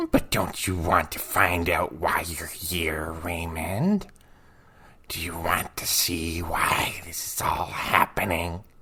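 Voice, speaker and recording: In a put-on character voice, someone whispers at a fairly slow pace. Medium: read story. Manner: coaxing, sinister.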